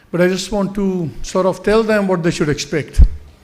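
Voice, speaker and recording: The room's echo can be heard. Over it, a man speaks fairly quickly. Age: 60s. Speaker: journalist. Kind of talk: conference speech. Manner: unscripted, hesitant.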